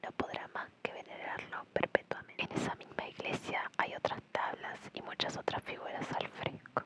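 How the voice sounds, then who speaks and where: Over clearly audible background noise, a woman speaks in a whisper. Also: moderate pace, hardly any pauses. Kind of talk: ASMR art history reading. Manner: whispered.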